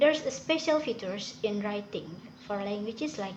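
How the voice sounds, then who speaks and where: A woman speaks in an Indonesian accent at a fairly high pitch, with lively intonation. The room echo is audible. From Indonesia (Sundanese). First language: Sundanese. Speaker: student. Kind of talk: class presentation / tutorial. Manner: halting.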